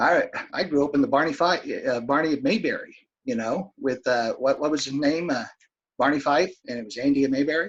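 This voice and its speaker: Here is a man with an unremarkable speaking voice, fairly high in pitch. He speaks at a fairly quick pace with ordinary pitch variation. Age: 60s. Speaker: Senate candidate. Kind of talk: political debate.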